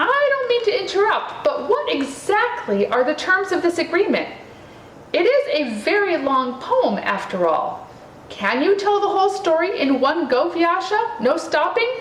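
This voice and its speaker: A woman's squeaky, put-on character voice at an extremely high pitch and a moderate pace, with slight echo and light background noise. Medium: read story.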